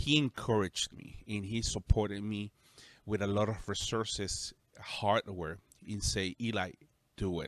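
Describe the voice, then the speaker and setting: In a very clean, dry, close recording with no echo and a silent background, a man speaks with a Spanish accent in a fairly low voice. His pace is fairly slow, his intonation fairly even, and his loudness swings widely. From El Salvador. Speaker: pastor. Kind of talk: casual chat.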